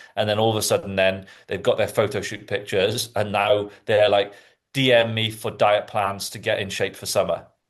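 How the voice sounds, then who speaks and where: A man with a slight Welsh accent speaks at a fairly quick pace in a fairly low pitch. His intonation is monotone and flat, and the background is quiet. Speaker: fitness podcast host. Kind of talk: casual chat.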